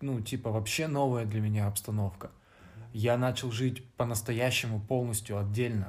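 A man with a somewhat breathy, medium-pitched voice speaks at a moderate pace with fairly even intonation. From Vladivostok, Russian Far East. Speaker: podcast co-host, student. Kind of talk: casual chat.

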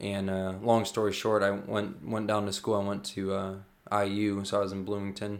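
This man, with an American accent, speaks at a moderate pace in a fairly low voice. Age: 20s. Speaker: youth pastor. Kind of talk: casual interview. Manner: halting.

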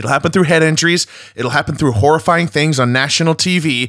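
A man's lively intonation comes through on a very clean recording with a silent background. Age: 30s. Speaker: football podcast host. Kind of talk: solo podcast commentary. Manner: halting with frequent repetitions.

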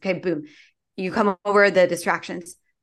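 A plain, everyday voice from a woman, fairly low in pitch, at a moderate pace against a quiet background. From Philippines-born, raised in US. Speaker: community founder and activist. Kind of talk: interview.

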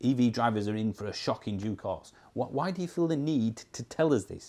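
A man with a Yorkshire accent, medium pitch, dark and mellow tone, lively intonation and a moderate pace. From Yorkshire, northern England. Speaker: YouTuber on electric cars. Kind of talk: casual talk to camera. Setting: on holiday, talking to camera.

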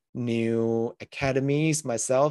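The speaker is a man with a medium pitch. The sound is dry and close, with no echo. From Malaysia. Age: 20s. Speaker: crypto investor. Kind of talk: casual chat.

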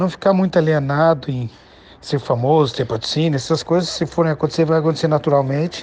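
With an unremarkable speaking voice, a man talks at a fairly quick pace, his fairly high pitch varying in an ordinary way. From Brazil, Curitiba. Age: 40s. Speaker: professional skateboarder. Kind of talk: casual interview.

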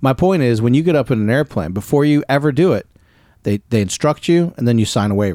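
In a very clean recording with a silent background, a man with a dark, mellow tone and medium pitch speaks at a very fast pace with lively intonation and very even loudness. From US mid-Atlantic. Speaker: sports podcast host. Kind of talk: casual chat.

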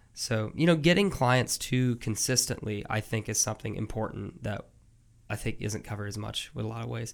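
A man talks at a fairly quick pace with vocal fry. His pitch is fairly low, with ordinary variation. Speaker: podcast host. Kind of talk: casual interview. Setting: studio.

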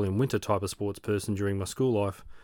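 A man with an Australian accent, very fast pace and monotone, flat intonation. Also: very clean recording, silent background. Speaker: podcast host, amateur triathlete. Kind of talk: scripted narration.

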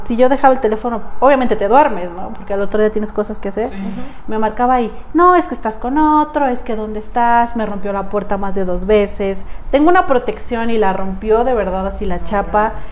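A woman speaks with a fairly high voice. Noticeable background noise and audible room echo accompany her. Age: 20s. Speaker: domestic violence survivor and amputee. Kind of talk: testimony.

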